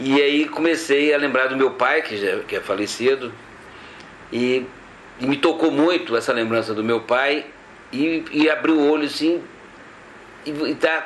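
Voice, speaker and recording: A man's fairly high voice at a fairly slow pace, with ordinary pitch variation, long, frequent pauses and noticeable background noise. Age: 60s. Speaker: pilgrim. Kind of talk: testimony. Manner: halting.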